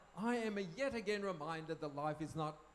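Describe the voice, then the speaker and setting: A man with an Australian accent. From Australia (moved from German-speaking country as child). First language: German. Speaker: speaker on parenting. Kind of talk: talk to live audience. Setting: tent at camp with audience.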